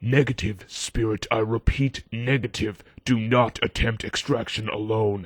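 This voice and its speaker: In a put-on character voice of medium pitch, a man speaks with hardly any pauses. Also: moderate pace. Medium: audio drama. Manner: crisp radio procedure.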